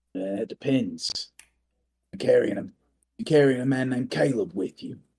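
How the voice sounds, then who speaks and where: A man does a put-on character voice, raspy and at a medium pitch. He speaks at a fairly slow pace, with big swings in loudness. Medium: actual play. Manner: terse, clipped.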